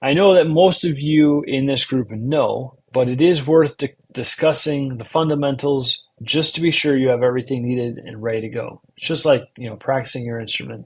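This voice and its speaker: Speaking with an American accent, a man uses a fairly high pitch, ordinary pitch variation and a somewhat breathy voice. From US Midwest, Chicago-Milwaukee area. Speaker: podcast host. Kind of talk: instructional talk summarizing a book. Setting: live stream. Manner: slow and enunciating.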